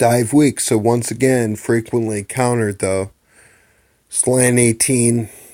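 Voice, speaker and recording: A man with a medium pitch and a dark, mellow tone talks at a very slow pace in monotone, flat intonation, recorded very cleanly against a silent background. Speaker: mobile game video commentator. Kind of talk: gameplay commentary.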